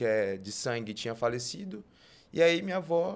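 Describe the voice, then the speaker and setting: A normal speaking voice at a moderate pace with lively intonation, in a very clean recording with a silent background. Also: man. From northern Tocantins, Brazil. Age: 20s. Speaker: guest sharing faith testimony. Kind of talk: testimony.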